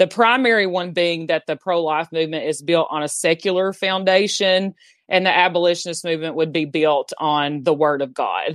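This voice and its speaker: In a dry, close sound with no echo, a woman with a Southern US accent speaks at a fairly low pitch. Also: ordinary pitch variation, moderate pace. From Southeast Tennessee. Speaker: abortion abolition activist. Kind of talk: interview.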